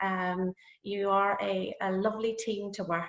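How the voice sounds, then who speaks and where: Delivered in a Northern Irish accent, the speech has a monotone, flat intonation. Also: woman. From Northern Ireland. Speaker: nursing academic. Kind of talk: lecture. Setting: video call. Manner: hesitant, many fillers.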